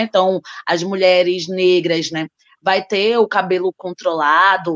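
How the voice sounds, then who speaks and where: A woman with an unremarkable speaking voice talks fairly slowly, her medium pitch and intonation fairly even. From Recife, Brazil. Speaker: social work professor and activist. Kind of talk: panel discussion.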